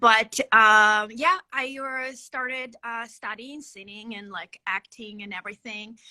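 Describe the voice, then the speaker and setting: A woman with a Ukrainian accent at a very slow pace with hardly any pauses, bright, sharp tone and big swings in loudness, in a dry, close sound with no echo. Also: fairly high pitch for a woman, ordinary pitch variation. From western Ukraine. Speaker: singer and actress. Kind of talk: interview.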